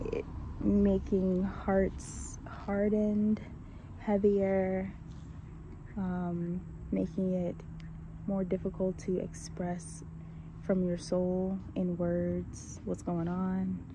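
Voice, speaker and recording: A soft-spoken woman talks at a very slow pace with long, frequent pauses, and audible room echo is present. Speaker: vlogger. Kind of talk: casual monologue. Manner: hesitant, many fillers.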